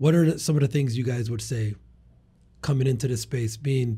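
With a dark, mellow tone and a somewhat breathy quality, a man speaks at a fairly quick pace with fairly even intonation. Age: 30s. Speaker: cleaning business podcast host. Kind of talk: casual interview. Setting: studio.

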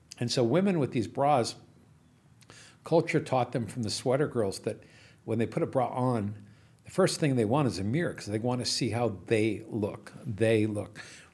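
Over a very clean recording with a silent background, a man with a normal speaking voice talks at a moderate pace and a medium pitch, his intonation lively. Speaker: entrepreneur. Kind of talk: casual chat.

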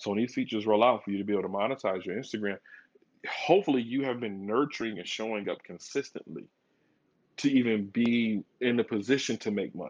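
The speaker talks at a very fast pace in an animated tone with an American accent and ordinary pitch variation. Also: man, medium pitch for a man. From Flint, Michigan. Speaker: digital marketer. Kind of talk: podcast interview.

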